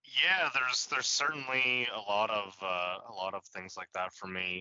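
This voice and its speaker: A man with a normal speaking voice, fairly low in pitch, with ordinary pitch variation at a moderate pace. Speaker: podcast host, guest. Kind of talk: casual chat.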